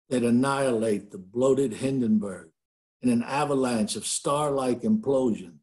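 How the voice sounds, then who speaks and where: Against a quiet background, a man speaks at a fairly slow pace. His tone is dark and mellow, with lively intonation. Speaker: poet. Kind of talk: poetry reading. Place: home room. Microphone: webcam.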